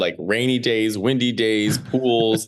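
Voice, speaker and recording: Here a man talks with an American accent at a medium pitch. His tone is animated. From Chicago area, US Midwest. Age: 30s. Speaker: stand-up comedian. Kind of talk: casual interview chat.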